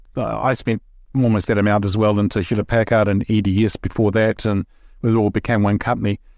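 A man's fairly low voice, dry and close with no echo, over a quiet background. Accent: New Zealand. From New Zealand. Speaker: podcast host. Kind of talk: interview. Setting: remote call.

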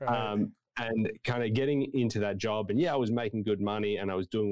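Very fast speech with an Australian accent and fairly even intonation. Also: man. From Tasmania, Australia (Hobart). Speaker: preaching student. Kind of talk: interview conversation. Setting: video call.

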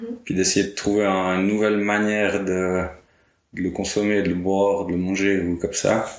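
The delivery moves at a moderate pace with flat, monotone intonation. Audible echo from the room surrounds the voice. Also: man, fairly low pitch for a man. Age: 20s. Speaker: winegrower. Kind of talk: casual interview.

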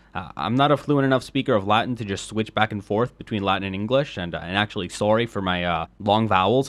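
Fairly quick speech with ordinary pitch variation in a Spanish accent. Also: man. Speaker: history podcaster. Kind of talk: scripted narration.

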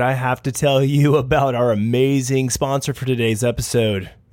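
This man's voice sits at a medium pitch with ordinary variation. He keeps to a moderate pace. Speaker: podcast host. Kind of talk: casual interview. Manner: halting, filler-heavy.

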